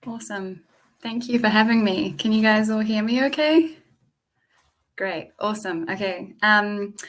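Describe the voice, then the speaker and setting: Somewhat breathy and fairly high-pitched, a woman speaks fairly slowly with ordinary pitch variation and long, frequent pauses. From England and New Zealand. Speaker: community venue founder. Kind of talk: presentation with storytelling.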